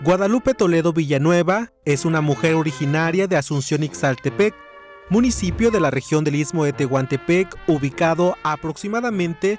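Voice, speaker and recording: With music playing in the background, a man speaks at a fairly high pitch. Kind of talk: news feature narration.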